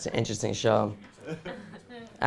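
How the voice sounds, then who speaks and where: Audible room echo surrounds a man with an American accent whose pitch shows ordinary variation. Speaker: stand-up comedian. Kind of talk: stand-up. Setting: stage with audience.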